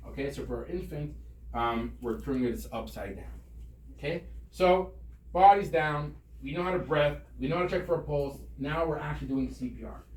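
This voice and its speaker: In a room with audible echo, a man speaks at a fairly quick pace, with long, frequent pauses and big swings in loudness. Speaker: rabbi and CPR instructor. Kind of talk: tutorial. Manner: fast.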